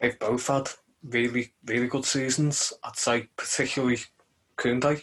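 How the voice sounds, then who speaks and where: In a Liverpool accent, a man speaks at a fairly slow pace. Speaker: football podcast co-host. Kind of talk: casual chat.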